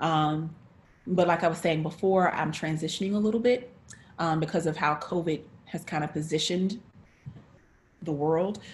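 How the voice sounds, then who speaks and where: A woman with a fairly low, somewhat breathy voice speaks at a moderate pace. She leaves long, frequent pauses, and her pitch varies in an ordinary way. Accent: American. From North Carolina. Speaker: actress, director and teaching artist. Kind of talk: interview.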